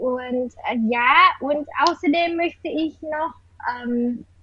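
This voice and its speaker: In a Vietnamese accent, a woman talks at a high pitch with ordinary pitch variation amid noticeable background noise. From Vietnam, Hanoi. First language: Vietnamese (speaking German). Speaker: university student of German. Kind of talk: casual interview; reading aloud. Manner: halting.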